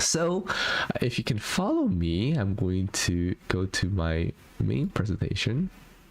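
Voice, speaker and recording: Here a man talks at a very slow pace. His loudness stays very even. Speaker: productivity software tutorial host. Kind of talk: live stream tutorial. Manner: mumbling, stumbling over words.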